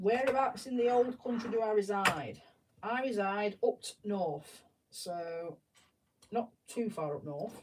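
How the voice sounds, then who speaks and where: Someone with a Yorkshire accent speaks at a fairly slow pace. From South Yorkshire, England. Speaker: live streamer building Lego sets. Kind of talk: casual live-stream chat. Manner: chatty, self-interrupting.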